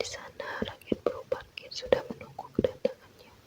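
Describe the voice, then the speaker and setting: The speech is a whisper. Behind it sits noticeable background noise. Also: woman. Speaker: ASMR content creator. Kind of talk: folklore storytelling read aloud. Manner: slow, soothing.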